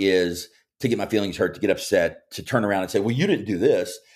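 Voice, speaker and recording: A man with a Kentucky accent at a moderate pace, on a very clean recording with a silent background. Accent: Kentucky Southern US. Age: 40s. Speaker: former college basketball player and sports radio host. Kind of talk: casual interview chat. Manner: halting with filler words and repeats.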